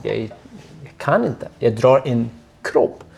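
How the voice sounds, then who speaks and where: A man's dark, mellow tone moves with fairly even intonation. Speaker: torture survivor. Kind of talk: personal testimony.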